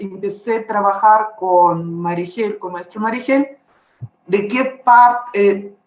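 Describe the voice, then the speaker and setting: A woman with a Russian accent speaks at a very slow pace with a medium pitch and ordinary pitch variation. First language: Russian (speaking Spanish). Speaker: visual artist. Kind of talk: interview. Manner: halting.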